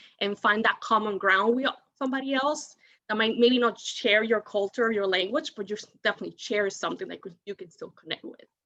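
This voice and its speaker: Bright and sharp in tone, a woman speaks with a Spanish accent. Her pitch is medium, with ordinary variation. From Dominican Republic. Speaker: alumni panelist. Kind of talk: panel discussion. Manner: halting, many fillers.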